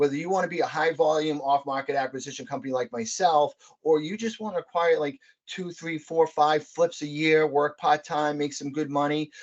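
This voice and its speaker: In a Boston accent, a man talks at a fairly quick pace with a fairly high pitch and ordinary pitch variation. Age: 40s. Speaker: real estate investor, Air Force veteran. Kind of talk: podcast interview. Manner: animated.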